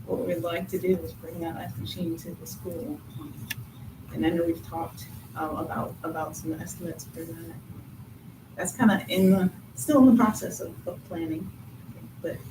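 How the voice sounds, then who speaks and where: A quiet woman speaks with long, frequent pauses and big swings in loudness, amid noticeable background noise and audible room echo. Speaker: PTO treasurer. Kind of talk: meeting report. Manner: fast.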